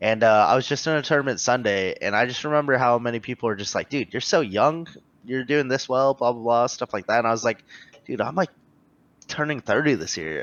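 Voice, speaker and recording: Talking fairly quickly, a man with an ordinary speaking voice keeps to a medium pitch and ordinary pitch variation. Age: 20s. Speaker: podcast host and poker player. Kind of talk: casual chat.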